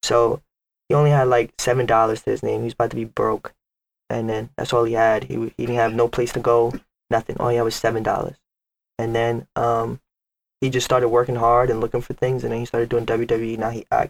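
A man speaks with a New York accent at a fairly quick pace. His intonation is monotone and flat. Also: medium pitch for a man. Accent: New York City English. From Bronx, New York. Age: 20s. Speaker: rapper. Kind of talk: casual chat.

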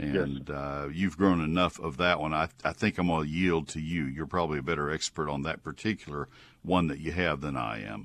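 Speaking at a fairly quick pace with hardly any pauses, a man with a Texan accent uses a very deep, low pitch with vocal fry and ordinary pitch variation. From Texas (College Station). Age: 70s. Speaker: radio gardening show host. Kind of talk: call-in advice radio. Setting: studio.

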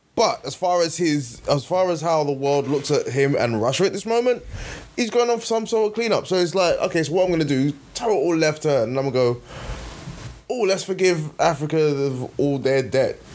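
A man speaks at a fairly quick pace with a fairly high pitch and very wide pitch swings. Noticeable background noise is audible. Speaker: podcast co-host. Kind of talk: casual chat.

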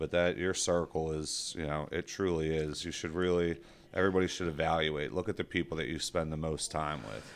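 A man with an American accent speaks fairly quickly in a very deep, low voice with fairly even intonation. The recording is very clean and the background silent. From South Jersey, Washington Township. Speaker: payroll company executive. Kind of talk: casual interview chat.

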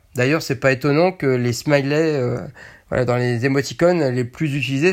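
This man talks at a fairly slow pace. His pitch is fairly high, with ordinary variation. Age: 40s. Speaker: podcaster. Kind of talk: casual monologue. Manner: halting.

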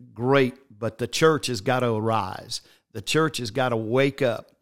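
In an ordinary speaking voice, a man at medium pitch talks at a fairly slow pace. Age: 60s. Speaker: bishop, church leader. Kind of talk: casual religious conversation. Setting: church office, streamed online.

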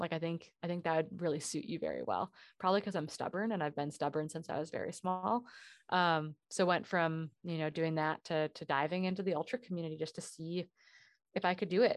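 With an American accent, a woman uses a normal speaking voice, fairly low in pitch and fairly even in intonation. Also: fairly quick pace, quiet background. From US Midwest, northern Wisconsin. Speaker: pro ultra runner and running coach. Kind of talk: casual interview.

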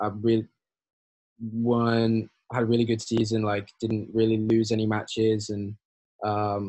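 Speaking at a moderate pace, the man has a fairly low pitch and a monotone, flat intonation. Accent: Yorkshire. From northern England, Hull. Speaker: college tennis player. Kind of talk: interview.

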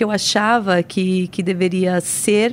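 Her voice is a normal speaking voice, and a woman is speaking. She goes at a fairly slow pace with fairly even intonation. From São Paulo, Brazil (born in Paraíba, moved at five). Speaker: municipal secretary and lawyer. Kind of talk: interview.

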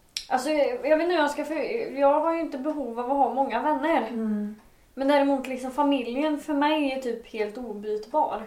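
The speech moves at a moderate pace. Noticeable background noise and audible room echo surround it. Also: woman, high pitch for a woman, ordinary pitch variation. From Sweden, Dalsland (Bengtsfors). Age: 20s. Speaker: podcaster. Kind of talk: casual chat.

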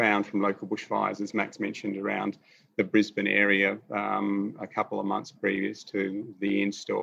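Speaking at a fairly slow pace, a man has a fairly low pitch and a bright, sharp tone. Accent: Australian. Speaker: installation artist. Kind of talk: artist talk over video call. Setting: video call, in his studio.

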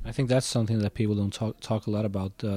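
A man's dark, mellow tone sits at a fairly low pitch. His intonation stays fairly even. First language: Swedish. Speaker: podcast host. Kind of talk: interview.

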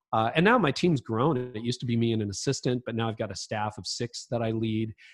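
A man with a Canadian accent has an ordinary speaking voice at a medium pitch, with ordinary pitch variation and a fairly quick pace. The sound is dry and close, with no echo. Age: 50s. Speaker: leadership author and podcaster. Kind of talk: casual interview chat.

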